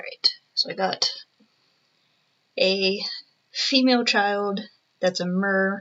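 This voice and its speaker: A woman speaks at a very slow pace. She is soft-spoken. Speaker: digital artist. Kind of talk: casual drawing commentary. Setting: at home. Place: home room. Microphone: webcam.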